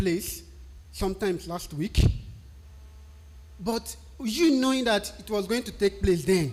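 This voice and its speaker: A man with a Nigerian accent at a fairly slow pace. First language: a Nigerian language. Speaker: technical writer. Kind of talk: tutorial.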